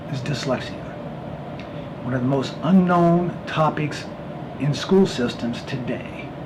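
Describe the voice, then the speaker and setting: A fairly high-pitched man with an American accent, fairly slow pace and ordinary pitch variation, amid audible room echo and noticeable background noise. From Pennsylvania, US. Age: 60s. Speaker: mentor talking about dyslexia. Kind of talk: personal monologue. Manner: halting, with fillers.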